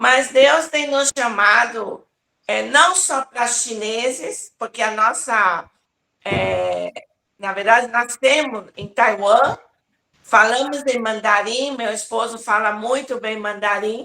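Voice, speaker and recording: A woman speaks very slowly at a fairly high pitch, with ordinary pitch variation. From Brazil, São Paulo (Taiwanese-born). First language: Taiwanese (speaking Portuguese). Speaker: apostle, revival preacher. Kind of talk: interview testimony.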